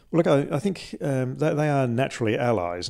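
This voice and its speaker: A man speaks fairly quickly with an Australian accent and ordinary pitch variation. The recording is very clean, with a silent background. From Australia, Adelaide. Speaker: interviewee, scientist. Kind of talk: interview. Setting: in a conservatory at home. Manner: halting, many repeated words.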